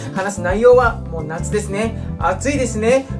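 Music plays behind a man who keeps a moderate pace. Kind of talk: casual talk and cocktail tutorial. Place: bar.

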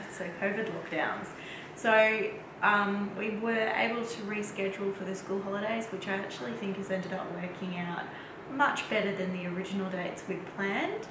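A woman talks at a moderate pace. Audible room echo and noticeable background noise surround her voice. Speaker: vlogger. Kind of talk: casual vlog chat. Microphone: camera far.

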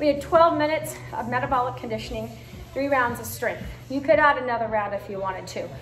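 The voice is a woman's. Audible room echo and light background noise surround it. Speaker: fitness instructor. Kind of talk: closing remarks to online class. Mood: warm, grateful. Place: gym. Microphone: camera far.

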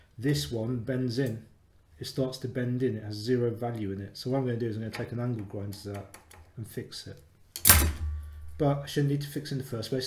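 The pace is fairly quick. Audible echo fills the room. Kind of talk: tutorial. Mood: mildly exasperated, humorous. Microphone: phone near.

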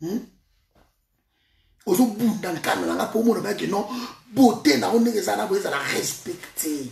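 A man talks at a moderate pace with high pitch and vocal fry. His intonation is lively.

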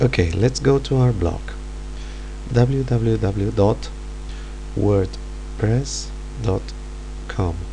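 Against noticeable background noise, a man speaks at a very slow pace with long, frequent pauses. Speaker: teacher. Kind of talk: software tutorial narration.

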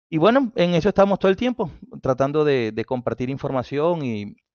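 A man with a Colombian accent talks at a moderate pace with lively intonation against a quiet background. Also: dry sound with no echo. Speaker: automotive engineer and instructor; instructor. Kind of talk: technical talk on live stream. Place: home room. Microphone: headset.

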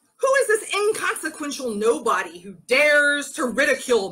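Using a put-on character voice, a woman speaks at a moderate pace in a high pitch with a bright, sharp tone and big pitch swings.

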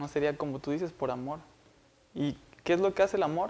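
Fairly even intonation and a moderate pace from a man with a fairly high pitch. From Montemorelos, northern Mexico. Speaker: university student. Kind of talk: Bible study discussion. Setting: university meeting room.

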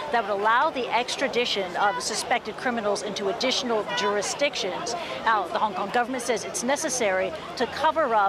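There is crowd noise in the background while a woman talks at a fairly quick pace. The sound is dry with no echo. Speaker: news correspondent. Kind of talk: live news report. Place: street.

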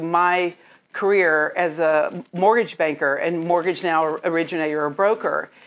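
Here a woman talks. She keeps to a fairly slow pace. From US South, Jackson, Mississippi; Mississippi. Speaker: mortgage loan officer, former opera singer; interviewee. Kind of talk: interview at networking group. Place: home room.

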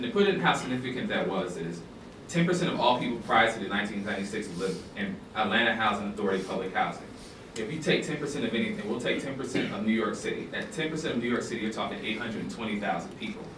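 Lively intonation from a man with an American accent, fairly quick pace, audible room echo and noticeable background noise. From US South. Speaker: documentary filmmaker. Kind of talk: public talk. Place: classroom. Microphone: camera far.

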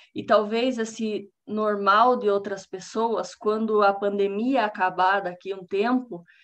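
A woman with a Paraná accent, a fairly high pitch, fairly even intonation and a very slow pace, against a quiet background. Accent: Paraná Brazilian Portuguese. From Brazil, Paraná. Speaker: scientist giving public talk; lecturer. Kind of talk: lecture. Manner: halting, many fillers. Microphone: video call.

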